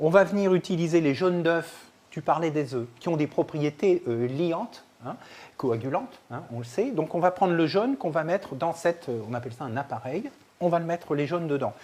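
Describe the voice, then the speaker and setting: With lively intonation, a man speaks at a moderate pace in a high pitch. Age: 60s. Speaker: chef and nutrition expert. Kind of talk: live cooking workshop. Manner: animated.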